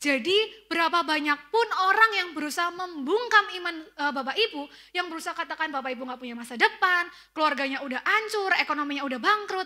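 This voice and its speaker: A raised, projected voice in a Central Javanese accent races at a very fast pace with lively intonation. Its tone is bright and sharp, with big swings in loudness. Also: woman, extremely high pitch for a woman. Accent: Tegal Javanese (ngapak) accent in Indonesian. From Tegal, Central Java, Indonesia. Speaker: preacher. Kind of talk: sermon. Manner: casual conversational.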